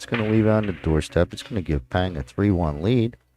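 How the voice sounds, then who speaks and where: Recorded very cleanly against a silent background, a man with a New York accent speaks with ordinary pitch variation in a dry, close sound with no echo. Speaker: pool commentator. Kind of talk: live commentary. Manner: casual, halting with fillers.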